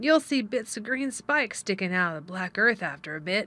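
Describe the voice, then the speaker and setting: Putting on a gruff character voice, a woman talks at a fairly quick pace from a medium pitch with very wide pitch swings, on a very clean recording with a silent background. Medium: read story. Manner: gruff, blunt.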